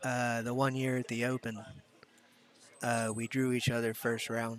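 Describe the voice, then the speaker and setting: Against noticeable background noise, a man with an American accent talks at a fairly slow pace in a monotone, flat way. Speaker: pool commentator, pool player. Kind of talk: live sports commentary. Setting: commentary booth with headphones.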